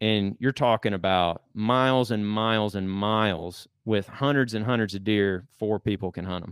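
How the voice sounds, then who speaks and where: An unremarkable speaking voice moves at a moderate pace with fairly even intonation and hardly any pauses. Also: man, fairly low pitch for a man. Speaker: public land hunter and hunting content creator. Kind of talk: casual chat. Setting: studio.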